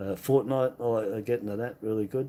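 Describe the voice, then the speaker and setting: Spoken at a moderate pace, the voice has a dark, mellow tone and an Australian accent. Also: man. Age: 60s. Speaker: coin collecting streamer. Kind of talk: casual live stream chat. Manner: halting, many fillers.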